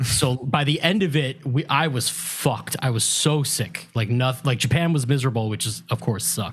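A man's somewhat breathy, medium-pitched voice with ordinary pitch variation and hardly any pauses. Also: moderate pace. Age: 30s. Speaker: podcast co-host. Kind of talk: casual chat.

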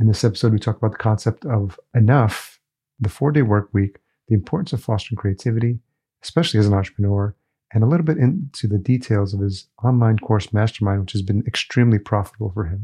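Over a quiet background, a man with a fairly low pitch and a dark, mellow tone speaks at a very fast pace, somewhat breathy, with ordinary pitch variation and a dry, close sound with no echo. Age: 50s. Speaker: podcast host. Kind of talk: scripted narration; interview.

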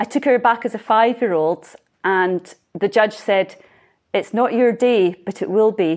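A woman in a Scottish accent speaks at a fairly slow pace with ordinary pitch variation. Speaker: pony competitor and judge. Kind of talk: interview.

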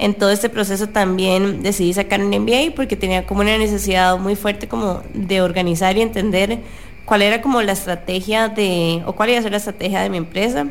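A woman talks at a fairly quick pace and a medium pitch. Noticeable background noise is present. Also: ordinary pitch variation. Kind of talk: casual chat. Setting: radio studio.

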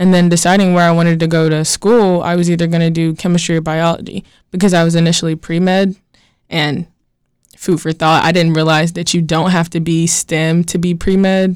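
A woman with an American accent speaks at a fairly quick pace in a fairly low voice with monotone, flat intonation. Her loudness stays very even on a very clean recording with a silent background. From North Carolina (Gaston County, near Charlotte). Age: 20s. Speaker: chemistry student. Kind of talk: casual interview. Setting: studio.

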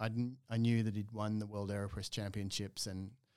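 The tone is dark and mellow, delivered with an Australian accent. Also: man. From Australia, Melbourne. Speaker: coffee roaster and business owner. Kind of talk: casual interview.

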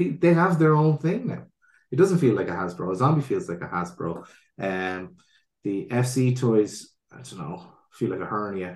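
A man of medium pitch talks at a moderate pace. His pitch swings very widely. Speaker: toy podcast co-host. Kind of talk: casual chat. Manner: polite, announcer-like when presenting.

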